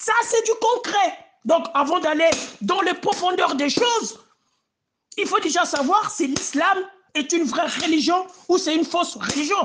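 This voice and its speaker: A man speaks at an extremely high pitch and a fairly slow pace, with very even loudness. He leaves long, frequent pauses. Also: lively intonation. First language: not French (speaking French). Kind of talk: heated debate. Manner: animated; halting.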